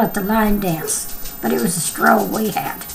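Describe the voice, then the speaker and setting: A woman speaks at a fairly slow pace. The recording carries noticeable background noise and audible room echo. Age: 70s. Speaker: vlogger. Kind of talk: casual chat. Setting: at home. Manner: animated.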